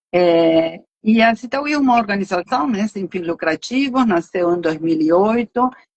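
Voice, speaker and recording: Here a woman speaks in a Uruguayan accent. Her intonation is lively. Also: medium pitch for a woman, fairly slow pace, hardly any pauses. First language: Spanish (speaking Portuguese). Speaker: nonprofit finance director. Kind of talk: live stream interview.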